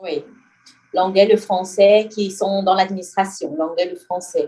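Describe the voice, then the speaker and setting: A woman's medium-pitched voice, dark and mellow in tone, fairly slow and fairly even in intonation. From Cameroon, francophone region. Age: 20s. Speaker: French teacher. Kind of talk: interview. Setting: podcast. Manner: hesitant, many filler sounds.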